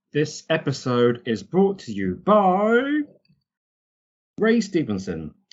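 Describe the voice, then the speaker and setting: In a British accent, the speaker goes very slowly, with long, frequent pauses and very wide pitch swings. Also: man, fairly high pitch for a man. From Britain. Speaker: podcast host. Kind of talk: casual podcast chat. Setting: Skype call.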